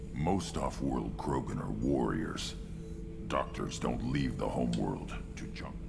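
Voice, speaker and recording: A man uses a put-on character voice at a fairly slow pace. Loud background noise fills the clip. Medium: machinima. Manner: gruff, blunt.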